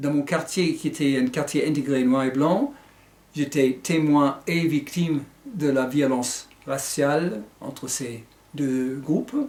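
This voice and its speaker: With an American accent, a man speaks at a very slow pace and a fairly high pitch, with ordinary pitch variation. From United States. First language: English (speaking French). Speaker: author and teacher. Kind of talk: book presentation. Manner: hesitant, with fillers.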